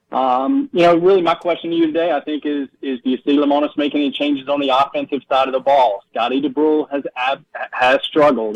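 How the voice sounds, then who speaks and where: A normal speaking voice moves at a fairly quick pace with hardly any pauses. The intonation stays fairly even. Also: man, fairly high pitch for a man. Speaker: caller. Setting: phone call.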